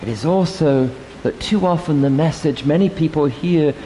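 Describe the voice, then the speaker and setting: The speaker talks at a fairly slow pace with lively intonation. Noticeable background noise runs underneath. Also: man. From England. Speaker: priest. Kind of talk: sermon. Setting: church.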